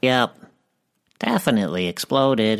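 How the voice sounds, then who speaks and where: A put-on character voice, pitched low, moves at a moderate pace. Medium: audio drama. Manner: simple, folksy, clipped words.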